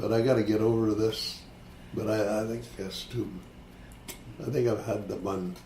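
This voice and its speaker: A man's fairly low, fairly even voice at a moderate pace, broken by long, frequent pauses, with noticeable background noise and audible room echo. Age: 80s+. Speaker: retired longshoreman. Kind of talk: oral history interview. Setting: care home. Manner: halting.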